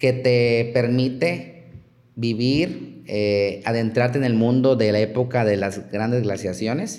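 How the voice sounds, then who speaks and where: A man of medium pitch talks at a fairly slow pace amid audible room echo. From Chiapas, Mexico. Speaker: archaeologist. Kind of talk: interview.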